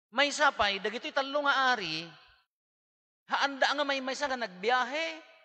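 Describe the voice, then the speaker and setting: In a quiet background, a man speaks at a moderate pace with an extremely high pitch, an animated tone and lively intonation. His speech has long, frequent pauses. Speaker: priest giving homily. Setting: church. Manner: conversational, animated, jokes and laughs; mixes Ilocano, Tagalog and English. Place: church. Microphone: podium.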